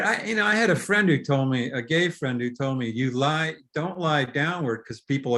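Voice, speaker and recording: Lively intonation in a man's normal speaking voice, fairly high-pitched and moderately paced. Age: 60s. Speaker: novelist. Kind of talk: casual conversation. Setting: video call.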